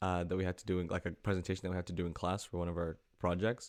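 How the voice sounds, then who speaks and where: Very fast and very deep, a man's low voice comes through on a very clean recording with a silent background. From Cameroon and Manchester, England. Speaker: student union president. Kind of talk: casual chat. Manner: animated.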